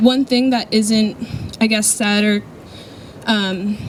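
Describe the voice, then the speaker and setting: Soft-spoken and fairly high-pitched, a woman talks with fairly even intonation. Noticeable noise sits in the background. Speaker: volunteer speaking about charity trip. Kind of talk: talk to an audience. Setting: event with audience and mic.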